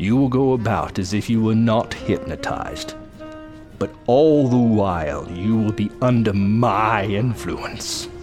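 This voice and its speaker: A man's medium-pitched voice at a fairly slow pace, with clear music in the background. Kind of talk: 1940s radio serial villain. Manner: smooth, menacing, hypnotic.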